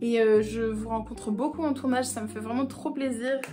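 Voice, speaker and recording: With music in the background, a woman speaks at a fairly quick pace. Her voice is fairly high, and her intonation is fairly even. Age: 20s. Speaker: actress. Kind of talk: casual talk to camera.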